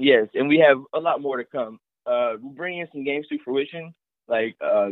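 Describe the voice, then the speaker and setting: A man speaks with an American accent at a medium pitch. His intonation is lively. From Tennessee, US South. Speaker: small business owner. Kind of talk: casual interview chat. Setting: at home under quarantine. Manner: hesitant, many fillers.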